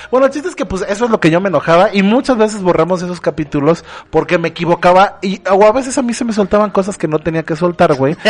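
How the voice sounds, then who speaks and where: With noticeable background noise, a man with a Mexican accent talks very fast at a high pitch with lively intonation. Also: hardly any pauses. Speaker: podcast host. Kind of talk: casual chat.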